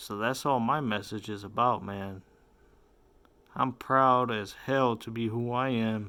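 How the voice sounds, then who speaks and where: On a very clean recording with a silent background, a man of medium pitch and bright, sharp tone speaks at a fairly slow pace with long, frequent pauses. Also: fairly even intonation. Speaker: YouTube commentator. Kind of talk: casual monologue.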